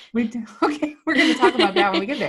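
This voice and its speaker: A woman speaks with very wide pitch swings. Vocal fry comes through in her voice. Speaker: podcast host. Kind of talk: casual podcast interview.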